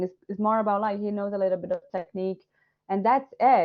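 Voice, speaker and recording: A woman speaks with a Portuguese accent. Her pitch is fairly high. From Brazil. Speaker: illustrator and course director. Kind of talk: Q&A session. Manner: animated.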